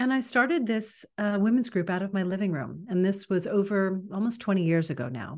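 A woman with an American accent speaks at a fairly quick pace, with hardly any pauses. Her pitch is medium, and the background is quiet. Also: lively intonation. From New York City. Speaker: women's mentor and author. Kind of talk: interview. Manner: animated.

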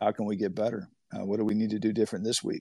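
A normal speaking voice with an American accent. The pace is fairly quick and the background is quiet. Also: man. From Humboldt County, Northern California. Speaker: college baseball head coach. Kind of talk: interview.

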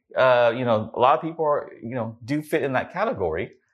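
With an American accent and an unremarkable speaking voice, a man talks at a fairly quick pace and medium pitch over a quiet background. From US, California. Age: 40s. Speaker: entrepreneur. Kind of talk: interview.

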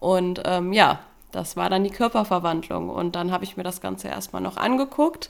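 Her pitch sits in the medium range as this woman speaks at a moderate pace. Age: 20s. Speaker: weight-loss program participant. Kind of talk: interview. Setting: studio.

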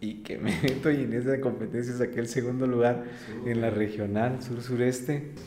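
A man speaks with monotone, flat intonation, with audible room echo. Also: medium pitch for a man, moderate pace. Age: 30s. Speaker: coffee roaster and business owner. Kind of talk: interview. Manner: halting, many fillers and repetitions.

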